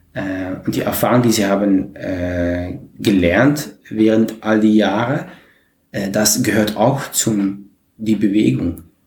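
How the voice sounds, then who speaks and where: Audible room echo surrounds a man's voice with a fairly low pitch. He speaks at a very slow pace with ordinary pitch variation. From Netherlands, Maastricht. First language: Dutch (speaking German). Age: 40s. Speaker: community organizer. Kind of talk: interview. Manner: halting.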